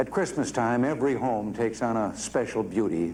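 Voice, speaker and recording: Here is a man with an American accent and a normal speaking voice. He talks at a moderate pace with a medium pitch and ordinary pitch variation. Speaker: U.S. president. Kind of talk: televised presidential address. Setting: studio, broadcast speech. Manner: measured, solemn.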